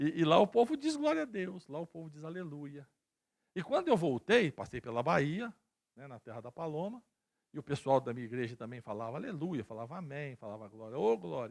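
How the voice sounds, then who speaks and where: Animated and fairly quick, the speech has very wide pitch swings and big swings in loudness, captured with a dry, close sound and no echo. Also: man, fairly high pitch for a man. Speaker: pastor. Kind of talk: sermon. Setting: church.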